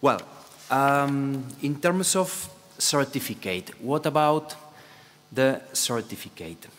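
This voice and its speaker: A man with a Spanish accent, at a very slow pace with long, frequent pauses and ordinary pitch variation. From Spain. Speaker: presenter. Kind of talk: conference panel talk. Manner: halting. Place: hall.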